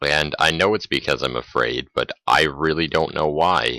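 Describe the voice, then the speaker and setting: The voice has vocal fry and a bright, sharp tone, recorded dry and close with no echo. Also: man. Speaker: gamer commentator. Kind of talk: gameplay commentary. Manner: mumbling, hesitant.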